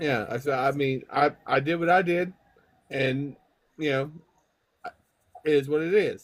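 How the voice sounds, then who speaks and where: With a Southern US accent, the speaker moves at a fairly slow pace, leaving long, frequent pauses. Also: man, fairly high pitch for a man, ordinary pitch variation. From US South. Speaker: person with MS in online community. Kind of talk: casual group chat.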